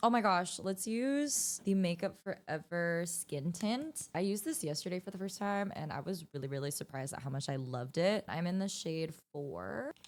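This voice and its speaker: An ordinary speaking voice from a woman with an American accent, fairly low-pitched, lively in intonation, at a fairly quick pace with hardly any pauses. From United States. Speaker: beauty vlogger. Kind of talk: makeup tutorial chat. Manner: casual, chatty.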